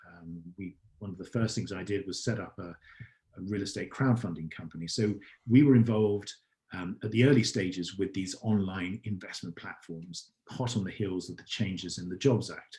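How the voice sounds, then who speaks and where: In an English accent, the somewhat breathy voice has a dark, mellow tone, big swings in loudness and ordinary pitch variation at a moderate pace. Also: man, fairly low pitch for a man. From England. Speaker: startup founder and CEO. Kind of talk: podcast interview answer.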